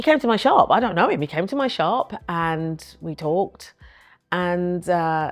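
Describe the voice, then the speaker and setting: A woman with a British accent and a fairly low pitch speaks against a quiet background. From northern England. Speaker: entrepreneur and women's ministry speaker. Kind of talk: personal storytelling interview.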